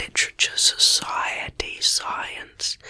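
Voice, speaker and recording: Someone whispers with an Australian accent. Noticeable background noise can be heard. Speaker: ASMR creator. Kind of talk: whispered ASMR reading of facts. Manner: whispering.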